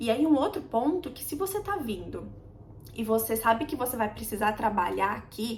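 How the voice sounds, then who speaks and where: A woman talks at a fairly slow pace, with noticeable background noise behind her. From Brazil. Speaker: immigrant vlogger. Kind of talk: casual chat. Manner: conversational, with hesitations.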